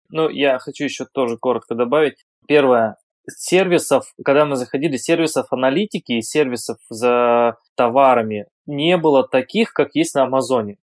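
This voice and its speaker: A man has a plain, everyday voice at medium pitch with ordinary pitch variation. He speaks at a moderate pace, and the sound is dry and close with no echo. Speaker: online seller. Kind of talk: interview.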